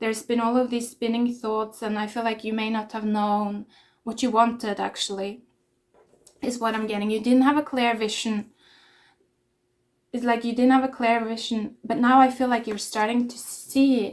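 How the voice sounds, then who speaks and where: A woman with a fairly high pitch speaks in a monotone, flat intonation on a very clean recording with a silent background. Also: moderate pace. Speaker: tarot reader. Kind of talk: tarot reading. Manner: hesitant, filler-heavy.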